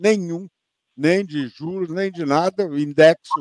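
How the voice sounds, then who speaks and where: A man talks at a fairly slow pace. The recording is dry and close, with no echo. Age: 60s. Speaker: fund manager. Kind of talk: panel interview. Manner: halting, many repetitions.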